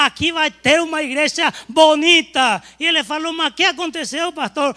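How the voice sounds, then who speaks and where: Projecting a raised voice at an extremely high pitch, a man sounds bright and sharp in a dry, close recording with no echo. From Paraguay. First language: Spanish (speaking Portuguese). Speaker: pastor. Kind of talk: sermon. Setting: church.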